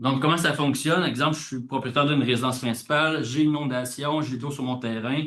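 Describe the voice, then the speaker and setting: The speaker is a man with a medium-pitched voice. He rushes along very fast with fairly even intonation. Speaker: government official. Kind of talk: conference presentation.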